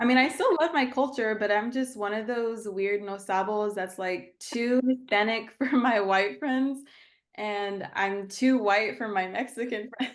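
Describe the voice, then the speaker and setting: Against a quiet background, a woman with a Texan accent speaks fairly slowly in a fairly high pitch with ordinary pitch variation. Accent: Texan American English. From Texas, San Angelo. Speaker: therapist and coach. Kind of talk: casual chat.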